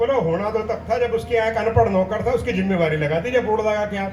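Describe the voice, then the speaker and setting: A man speaks at a moderate pace with audible room echo and noticeable background noise around him. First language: Punjabi (speaking Hindi). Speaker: poet. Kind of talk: stage poetry and humorous anecdotes. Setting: stage with audience. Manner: animated.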